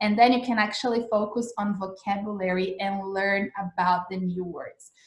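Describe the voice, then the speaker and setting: With a Portuguese accent, a woman speaks at a moderate pace in a somewhat breathy voice. Her pitch varies in an ordinary way. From Brazil. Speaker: English teacher. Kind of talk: live-streamed lesson. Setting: Instagram livestream. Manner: casual, filler-heavy.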